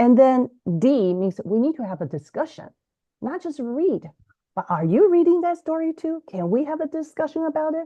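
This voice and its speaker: At a moderate pace, a woman speaks with a high pitch that swings very widely. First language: Mandarin Chinese. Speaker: bilingual education author and podcaster. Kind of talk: interview. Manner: halting, frequent repetitions.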